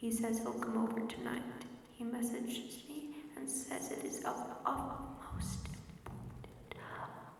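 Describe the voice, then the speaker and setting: Someone whispers at a very slow pace. Background noise is noticeable. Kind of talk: ASMR horror story reading. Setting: rain sounds in background. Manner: whispered, soft-spoken.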